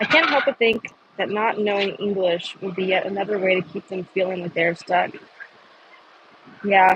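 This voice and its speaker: Soft-spoken at a moderate pace, this voice leaves long, frequent pauses against noticeable background noise. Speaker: protester livestreamer. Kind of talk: casual chat. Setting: outdoors. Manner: halting.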